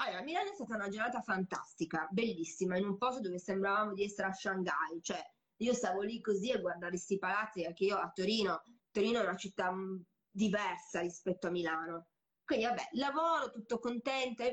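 At a very fast pace, a woman speaks in a medium pitch with lively intonation. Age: 40s. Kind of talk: casual chat. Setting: recorded Instagram live. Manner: energetic, fast.

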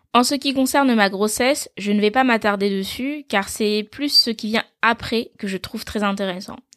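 An unremarkable speaking voice from a woman, fairly high in pitch, with ordinary pitch variation at a moderate pace, on a very clean, dry, close recording with no echo and a silent background. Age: 20s. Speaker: podcast host, mother. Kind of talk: solo podcast monologue. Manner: warm, conversational.

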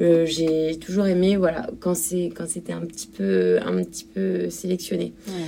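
Her voice is fairly low. This woman speaks at a very slow pace. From France, Normandy (Cherbourg). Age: 30s. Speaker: shop owner. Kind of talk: interview.

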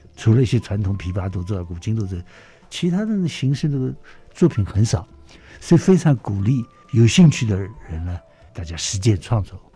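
Music plays in the background as a man speaks with long, frequent pauses. His pitch swings very widely. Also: fairly low pitch for a man, moderate pace. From Shanghai, China. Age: 80s+. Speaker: orchestra conductor. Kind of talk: interview. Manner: lively.

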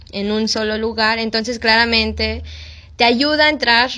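In a normal speaking voice, a woman with a fairly high pitch talks at a fairly slow pace. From Mexico. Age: 20s. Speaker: missionary. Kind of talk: casual interview.

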